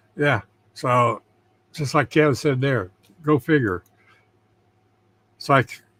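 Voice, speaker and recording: This man's voice has a bright, sharp tone at a medium pitch. He speaks at a moderate pace, and the sound is dry and close with no echo. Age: 70s. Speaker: livestream host. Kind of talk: casual chat. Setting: livestream. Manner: halting.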